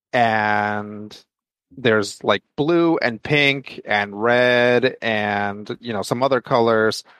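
A man speaks in an ordinary speaking voice at medium pitch with fairly even intonation. The sound is dry and close with no echo, over a quiet background. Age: 40s. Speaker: comic book podcast co-host. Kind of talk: casual chat.

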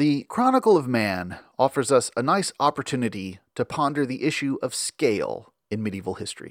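An ordinary speaking voice from a man, medium in pitch with lively intonation, moderate in pace with hardly any pauses, dry and close with no echo on a very clean recording with a silent background. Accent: American. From US South, Memphis, Tennessee. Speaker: podcast host, medieval history. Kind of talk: scripted narration with readings from a medieval chronicle.

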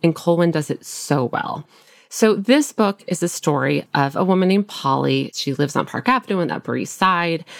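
The sound is dry and close with no echo as a woman with an American accent and a plain, everyday voice speaks at a moderate pace, using lively intonation in a fairly low pitch. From US Midwest, small-town Nebraska. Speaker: librarian. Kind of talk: casual chat. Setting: remote call from home.

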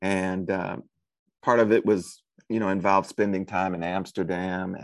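His pitch is very deep and low, and the man keeps a moderate pace. The background is quiet. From US Midwest, St. Louis, Missouri. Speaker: novelist and professor. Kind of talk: interview. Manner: hesitant, many fillers and repetitions.

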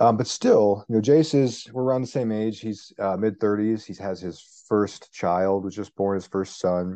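With an American accent, a man with a fairly low pitch talks at a moderate pace with ordinary pitch variation, an ordinary speaking voice. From Arizona. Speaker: science journalist and author. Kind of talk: interview.

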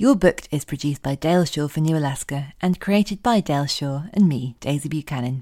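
A dark, mellow tone with ordinary pitch variation, on a very clean recording with a silent background. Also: woman. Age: 30s. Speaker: podcast host and novelist. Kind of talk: scripted announcements; casual chat.

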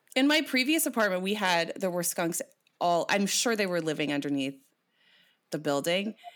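A woman with a Canadian accent and a medium pitch speaks in an animated tone at a moderate pace, with very wide pitch swings and long, frequent pauses. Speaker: podcast host and poet. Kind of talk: casual chat.

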